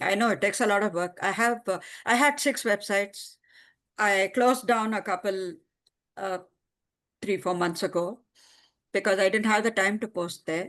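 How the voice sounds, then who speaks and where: A woman speaks with an Indian accent at a moderate pace, her medium pitch showing ordinary variation. Long, frequent pauses break up her speech against a quiet background. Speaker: writer. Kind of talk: casual chat. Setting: video call.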